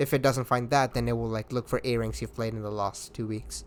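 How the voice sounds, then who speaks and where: The speaker has an Indian accent and talks at a fairly quick pace. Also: man. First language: Hindi. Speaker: gaming community organizer. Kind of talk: casual chat.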